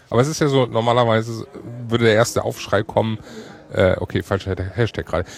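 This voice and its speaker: A man talks at a very fast pace, broken by long, frequent pauses. Noticeable background noise runs underneath. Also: medium pitch for a man, ordinary pitch variation. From Hamburg. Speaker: podcast host. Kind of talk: casual chat. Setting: podcaster table at a hacker congress.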